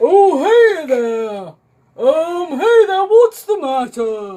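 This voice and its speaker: Using a put-on character voice, a woman speaks very slowly at an extremely high pitch, with very wide pitch swings. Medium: read story. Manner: hesitant, stammering with "uh" and "oh".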